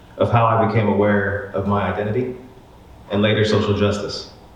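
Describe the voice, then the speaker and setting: Amid audible room echo and noticeable background noise, a man with an American accent speaks at a fairly quick pace with a fairly low pitch. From Oklahoma, Tulsa. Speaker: university administrator. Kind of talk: personal essay reading.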